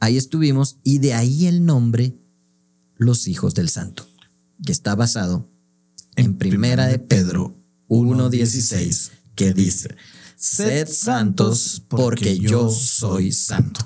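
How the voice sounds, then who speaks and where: Long, frequent pauses break up this man's speech. He talks at a fairly slow pace and a medium pitch. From Guatemala. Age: 40s. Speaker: clown, pastor and podcast co-host. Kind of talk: casual chat.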